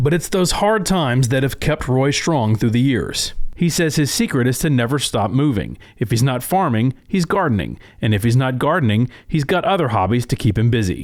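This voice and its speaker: A plain, everyday voice belongs to this man, pitched in the medium range with lively intonation. He talks at a moderate pace with hardly any pauses and very even loudness. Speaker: agricultural news reporter. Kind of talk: TV news feature narration.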